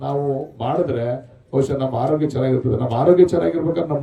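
A man's voice with ordinary pitch variation. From rural Karnataka, India. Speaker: politician, state legislator. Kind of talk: public speech at a sports event.

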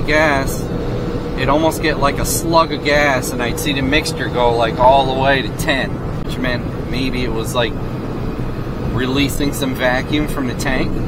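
There is loud background noise, yet the man's voice itself sounds dry with no echo. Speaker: vehicle vlogger. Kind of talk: casual vlog chat. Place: car. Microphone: camera far.

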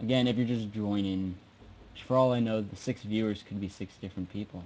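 A man with an American accent speaks at a moderate pace in a fairly low pitch. His tone is dark and mellow, with fairly even intonation. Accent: drops final g in -ing words. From US, South Jersey. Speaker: live streamer giving software tutorial. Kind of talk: tutorial. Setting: live stream from home computer. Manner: halting, many fillers.

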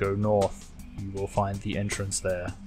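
A man talks in a put-on character voice at a moderate pace. Clear music plays in the background. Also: fairly low pitch for a man. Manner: impassive, flat.

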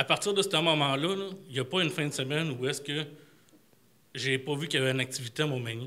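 A man with a Quebec accent speaks at a very fast pace in a fairly high pitch, his bright, sharp tone carrying ordinary pitch variation between long, frequent pauses. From Quebec City. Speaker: retiree, audience member. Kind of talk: audience comment. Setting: library public event with audience. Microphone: podium.

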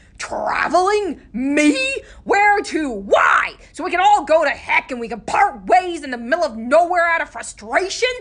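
A gruff, high-pitched put-on character voice at a moderate pace. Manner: gruff, grouchy, defensive.

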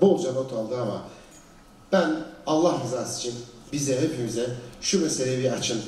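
Through audible room echo, a man speaks at a moderate pace with lively intonation. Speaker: panel moderator. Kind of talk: panel discussion commentary. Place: stage.

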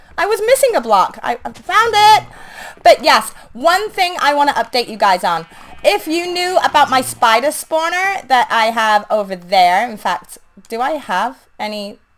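With a high pitch and very wide pitch swings, a woman speaks in an animated tone at a moderate pace, with big swings in loudness. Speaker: gaming YouTuber. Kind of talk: casual gameplay commentary. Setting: home recording, gameplay voiceover. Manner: animated, chatty.

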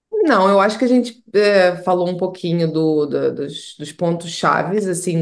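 Against a quiet background, a woman talks at a fairly slow pace and a fairly low pitch. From Portugal, moved from Brazil at six. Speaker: immigration lawyer. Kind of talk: interview. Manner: halting, many repeated words. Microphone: video call.

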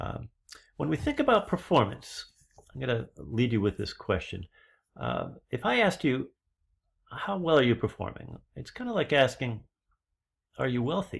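A man speaks at a moderate pace against a quiet background, with long, frequent pauses. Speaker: leadership trainer. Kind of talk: lecture. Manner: animated. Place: home room. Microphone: webcam.

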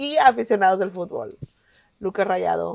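A woman at a medium pitch, over a quiet background. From Mexico, Monterrey; Nuevo León, Mexico. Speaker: podcast panelist, football fan; podcast panelist. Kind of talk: casual chat. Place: home room.

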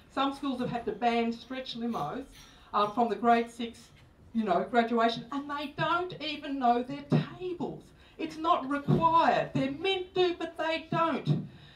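Spoken at a fairly slow pace with lively intonation, the voice carries audible room echo. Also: woman, high pitch for a woman. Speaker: speaker. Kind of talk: public talk. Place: stage.

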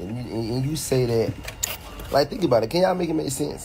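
A man speaks in a tired tone with very wide pitch swings. Music plays in the background. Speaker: live streamer. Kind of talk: casual live-stream rant. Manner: tired, low voice from hospital bed. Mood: frustrated, defensive. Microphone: phone near.

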